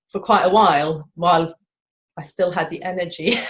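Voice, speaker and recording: Fairly even intonation, a somewhat breathy sound and a moderate speed. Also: woman. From Norway. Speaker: shopkeeper. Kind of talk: interview answer.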